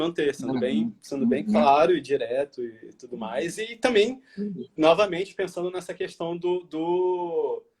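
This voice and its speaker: A man's voice sits high in pitch and moves with lively intonation. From Rio de Janeiro, Brazil. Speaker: designer and entrepreneur. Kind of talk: interview answer. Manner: casual, conversational.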